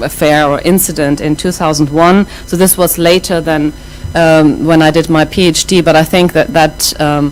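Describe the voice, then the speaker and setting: With a German accent, a woman speaks at a very deep, low pitch and a moderate pace over background music. Her loudness is very even, and her intonation is monotone and flat. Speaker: professor. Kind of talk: lecture. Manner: many fillers and restarts.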